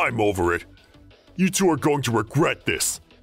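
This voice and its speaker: A man at medium pitch and a moderate pace, with very wide pitch swings and faint music in the background. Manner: angry, hostile.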